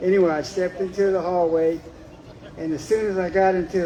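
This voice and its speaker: A man's high voice stays monotone and flat at a moderate pace. Audible room echo and noticeable background noise sit behind it. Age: 60s. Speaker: storyteller at community event. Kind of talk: personal ghost story told to audience.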